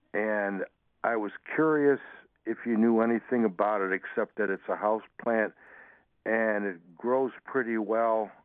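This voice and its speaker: A man with a medium-pitched voice talks at a fairly slow pace with fairly even intonation. He leaves long, frequent pauses. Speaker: caller. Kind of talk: phone call question. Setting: phone call. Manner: halting, hesitant.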